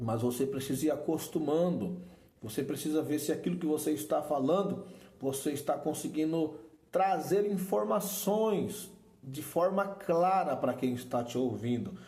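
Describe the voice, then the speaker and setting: With lively intonation and a Brazilian accent, a man speaks at a fairly high pitch and fairly slow pace amid audible room echo and noticeable background noise. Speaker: preaching teacher. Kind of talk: lecture. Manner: informal and repetitive.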